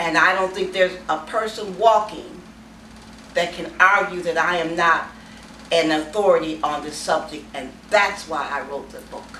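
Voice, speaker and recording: Moderately paced speech with big swings in loudness and ordinary pitch variation, plus audible room echo and noticeable background noise. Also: woman, fairly low pitch for a woman. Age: 70s. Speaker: author. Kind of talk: interview. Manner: emphatic.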